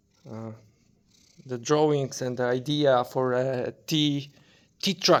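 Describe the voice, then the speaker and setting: A man speaks very slowly in a non-native accent, his medium-pitched voice keeping a fairly even intonation. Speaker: hobby woodworker. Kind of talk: casual workshop vlog talk. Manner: halting, many fillers and repetitions.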